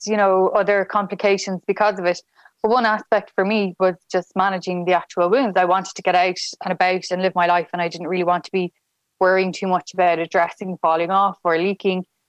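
A woman with a Dublin accent speaks at a medium pitch in a monotone, flat intonation, with a dry, close sound and no echo. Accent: Irish (Dublin). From Ireland, Dublin. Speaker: medtech entrepreneur. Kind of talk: interview.

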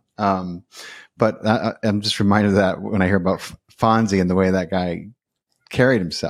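In a very clean recording with a silent background, a man with a fairly low pitch talks at a fairly quick pace, broken by long, frequent pauses. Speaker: podcast host. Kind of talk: casual interview. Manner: excited, enthusiastic.

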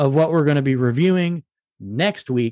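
Against a quiet background, the sound is dry and close with no echo, carrying lively intonation in an ordinary speaking voice. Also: man. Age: 30s. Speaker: movie podcast host. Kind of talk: casual chat.

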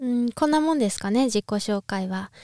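The intonation is lively. The sound is dry and close, with no echo. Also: woman. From Japan, Niigata. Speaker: ballet dancer and podcaster. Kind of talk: casual solo podcast talk. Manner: halting, many fillers.

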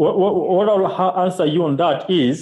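A man speaks at a very slow pace. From Kenya, Kisumu. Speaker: journalist and activist. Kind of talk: interview. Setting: call from Kenya.

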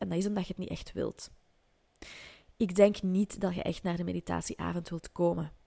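This woman's voice sits fairly low, with a dark, mellow tone, at a moderate pace. The sound is dry and close, with no echo. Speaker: podcast host, entrepreneur and coach. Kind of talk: solo podcast monologue.

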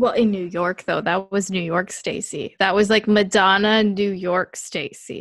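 Hardly pausing, a woman speaks at a fairly slow pace with a medium pitch and flat, monotone intonation. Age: 20s. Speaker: film and media studies graduate student. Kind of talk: casual chat.

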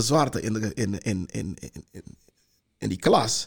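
At a moderate pace, a man speaks with vocal fry. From Suriname (Para district). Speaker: heritage institute director. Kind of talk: panel discussion. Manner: halting, many repetitions.

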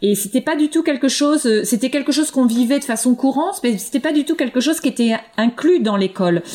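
A woman speaks with a high pitch and a dark, mellow tone. Her intonation is lively and her loudness very even. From France, eastern Paris. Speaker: linguistics professor. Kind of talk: interview. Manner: halting, many repetitions and fillers.

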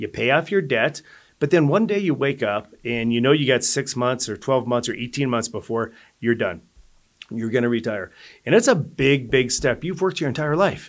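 In a very clean recording with a silent background, a man with an American accent uses an unremarkable speaking voice at a medium pitch, with lively intonation and a moderate pace. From Colorado. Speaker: financial advisor. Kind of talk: casual chat.

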